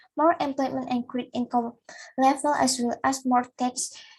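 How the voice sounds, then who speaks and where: A woman speaks at a moderate pace with a non-native accent. Her pitch is high, and her intonation stays fairly even. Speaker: student presenter. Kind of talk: academic presentation. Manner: halting.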